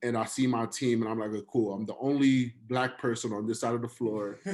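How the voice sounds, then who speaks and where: In a New York accent, a man talks at a moderate pace with a medium pitch and monotone, flat intonation. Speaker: finance professional. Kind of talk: casual chat. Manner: relaxed, slangy.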